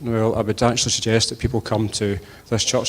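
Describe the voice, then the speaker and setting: Speaking at a very fast pace, a man talks with a west of Scotland accent. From Scotland, Inverclyde (Port Glasgow). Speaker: politician, election candidate. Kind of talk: campaign speech at hustings. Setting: church with audience.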